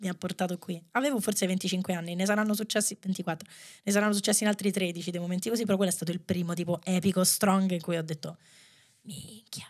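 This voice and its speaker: At a very fast pace, a woman speaks in a medium pitch with fairly even intonation against a quiet background. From Rome, Italy; Italy. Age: 30s. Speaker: dancer and choreographer; podcast guest. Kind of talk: casual chat. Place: studio. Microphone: studio mic.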